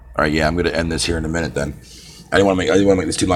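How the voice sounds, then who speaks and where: There is noticeable background noise. Through it, a man talks with a Canadian accent. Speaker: gaming livestreamer. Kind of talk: casual live stream chat. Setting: live stream. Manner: animated.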